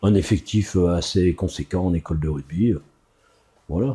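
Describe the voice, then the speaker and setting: Against a quiet background, a man's dark, mellow, somewhat breathy voice moves at a fairly slow pace. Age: 60s. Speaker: youth rugby coach. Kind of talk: interview. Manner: hesitant, many fillers.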